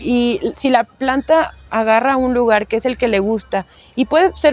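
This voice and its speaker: A woman's voice with ordinary pitch variation. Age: 30s. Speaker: plant enthusiast and content creator. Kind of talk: casual interview.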